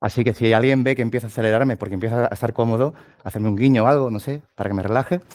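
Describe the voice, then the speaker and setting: A man with an Andalusian accent, medium in pitch with ordinary pitch variation, very fast in pace, on a very clean recording with a silent background. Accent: southern Spanish (Andalusian). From southern Spain, Cádiz. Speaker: tech lead, conference speaker. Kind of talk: tech talk at meetup.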